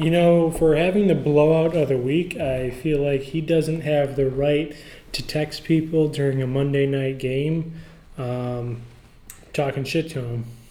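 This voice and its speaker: Noticeable background noise accompanies a man whose fairly high voice keeps fairly even intonation. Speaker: fantasy football podcast host. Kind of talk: casual banter, recap podcast. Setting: office.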